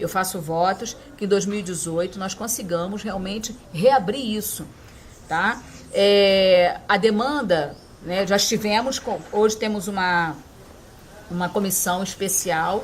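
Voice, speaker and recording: A woman has an ordinary speaking voice, pitched medium with ordinary variation. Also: fairly slow pace. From Aracaju, Sergipe, raised in Rio de Janeiro. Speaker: city councilwoman. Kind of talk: interview answer.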